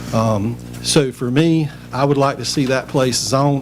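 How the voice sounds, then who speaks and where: With a North Carolina accent, a man talks in a fairly even intonation over noticeable background noise. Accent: Southern US (North Carolina). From North Carolina, Rocky Mount. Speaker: public commenter, resident. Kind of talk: public comment at council meeting. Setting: town council meeting.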